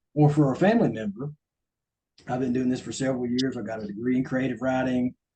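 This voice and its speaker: A man talks very fast in a strong Southern US accent. His pitch is medium and his intonation fairly even. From US South, coastal Georgia. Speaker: ghostwriter. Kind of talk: talk to a club. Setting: meeting with audience.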